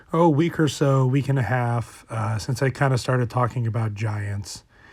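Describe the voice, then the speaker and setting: A somewhat breathy, medium-pitched male voice. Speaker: paranormal storyteller. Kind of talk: casual talk to camera.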